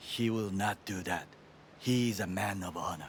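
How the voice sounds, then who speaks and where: A man's put-on character voice, fairly low in pitch with fairly even intonation, at a moderate pace over clear background noise. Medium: video game. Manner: formal, stiff, avoids contractions.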